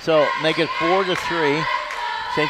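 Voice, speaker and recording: A man talks while loud noise fills the background. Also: dry sound with no echo. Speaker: radio play-by-play announcer. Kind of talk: sports commentary. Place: hall.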